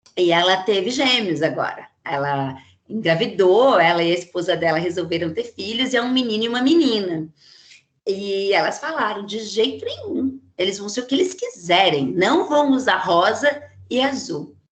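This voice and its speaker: With an animated tone and very wide pitch swings, the voice moves at a moderate pace. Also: woman, medium pitch for a woman. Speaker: psychologist giving a talk. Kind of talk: lecture.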